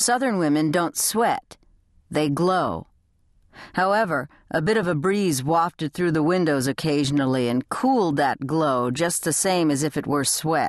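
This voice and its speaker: A woman with a very deep, low pitch talks at a fairly slow pace with lively intonation and very even loudness, the sound dry and close with no echo against a quiet background. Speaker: audiobook narrator. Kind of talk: audiobook reading of a crime novel. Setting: studio.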